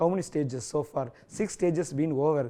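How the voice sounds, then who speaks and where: A man speaks against a quiet background. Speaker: school English teacher. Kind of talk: lecture. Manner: code-switching English and Tamil.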